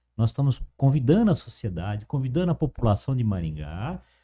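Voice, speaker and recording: A man talks at a moderate pace in a dark, mellow tone with very wide pitch swings. His voice is somewhat breathy, and the sound is dry and close with no echo on a very clean recording with a silent background. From interior of São Paulo state, Brazil. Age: 50s. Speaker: cultural association director. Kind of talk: interview.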